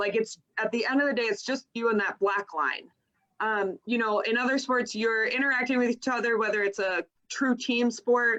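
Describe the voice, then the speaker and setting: At a moderate pace, a woman talks with a fairly high pitch, a bright, sharp tone and very even loudness. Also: ordinary pitch variation. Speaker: swim coach. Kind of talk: casual chat.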